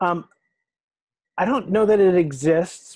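A man with an American accent and a dark, mellow tone, at a fairly slow pace with ordinary pitch variation, in a dry sound with no echo and a quiet background. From Maine, US. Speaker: theatrical lighting designer. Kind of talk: interview. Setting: video call. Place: home room. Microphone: earbuds.

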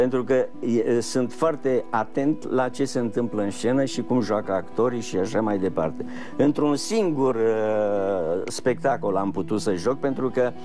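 Clear music plays in the background as a man speaks. His pace is very slow, with ordinary pitch variation. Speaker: guest. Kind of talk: interview answer. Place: studio. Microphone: lapel.

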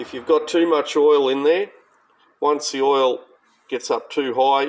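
A man talks at a moderate pace. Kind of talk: tutorial. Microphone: phone near.

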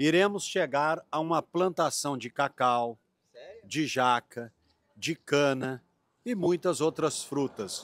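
The sound is dry with no echo as a man with a fairly high voice speaks at a very slow pace. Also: ordinary pitch variation. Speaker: travel video host interviewing locals. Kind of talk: casual on-location interview. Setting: outdoors. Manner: animated.

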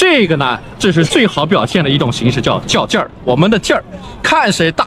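At a moderate pace, a man talks over noticeable background noise, the sound dry with no echo. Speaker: Mandarin teacher. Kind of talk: language lesson explanation. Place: open country. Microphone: phone near.

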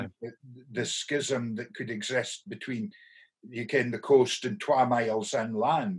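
Against a quiet background, a somewhat breathy man with a northeast Scottish accent talks at a fairly slow pace, with ordinary pitch variation and big swings in loudness. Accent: Doric Scots. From North-East Scotland. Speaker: professor. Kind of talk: podcast host conversation. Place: home room. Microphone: webcam.

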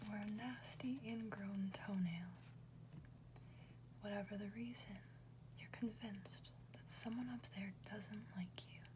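Whispering and soft-spoken, a woman talks at a fairly slow pace with big swings in loudness and long, frequent pauses over noticeable background noise. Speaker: ASMR reader. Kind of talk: ASMR whisper book reading. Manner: whispered, soft-spoken.

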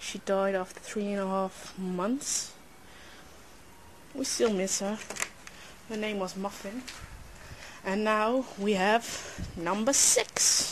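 Pausing long and often, a woman speaks at a very slow pace with fairly even intonation over light background noise. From Netherlands. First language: Dutch. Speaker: pet owner filming. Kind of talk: casual talk to camera. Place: garden. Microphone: phone near.

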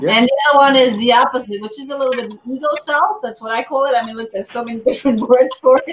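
Over light background noise, a woman races along at a very fast pace with hardly any pauses, her high voice showing ordinary pitch variation and big swings in loudness. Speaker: show host. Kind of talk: casual interview chat. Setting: video call. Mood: engaged, reflective. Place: home room.

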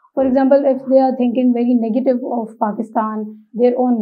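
A woman's monotone, flat delivery against a quiet background. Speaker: interview candidate. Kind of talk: interview answer. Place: studio.

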